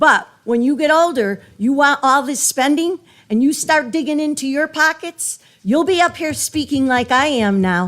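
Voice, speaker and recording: On a very clean recording with a silent background, a woman with a high pitch speaks at a moderate pace with lively intonation. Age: 60s. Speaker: resident speaking at public hearing. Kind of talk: public comment at budget hearing.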